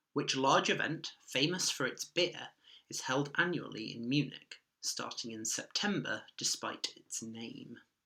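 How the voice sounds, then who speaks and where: Speaking with a British accent at a fairly slow pace, a man with a fairly high pitch has a bright, sharp tone and big swings in loudness. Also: ordinary pitch variation. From UK. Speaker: online quiz host. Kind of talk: quiz reading.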